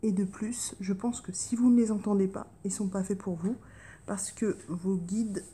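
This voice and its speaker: A soft-spoken woman's voice, somewhat breathy, dark and mellow in tone, medium in pitch, fairly even in intonation and fairly slow. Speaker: tarot card reader. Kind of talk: casual chat.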